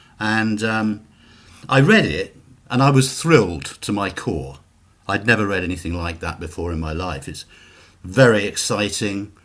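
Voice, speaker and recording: Speaking with a British accent, a man uses a fairly low pitch and very wide pitch swings at a moderate pace. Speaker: author. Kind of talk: interview. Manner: halting.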